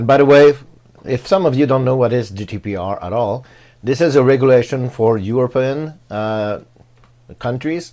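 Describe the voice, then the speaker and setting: A man with a non-native accent, dark and mellow in tone, at a moderate pace. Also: medium pitch for a man, ordinary pitch variation. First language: not English. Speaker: tech YouTuber reviewing WordPress plugins. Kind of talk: tutorial. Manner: halting, many fillers.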